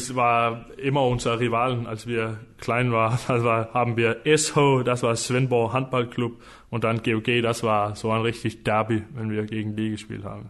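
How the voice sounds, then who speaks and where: A man with a Danish accent speaks at a medium pitch, his intonation monotone and flat. His pace is fairly slow, with hardly any pauses. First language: Danish (speaking German). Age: 20s. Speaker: professional handball player. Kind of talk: casual interview. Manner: halting, searching for words.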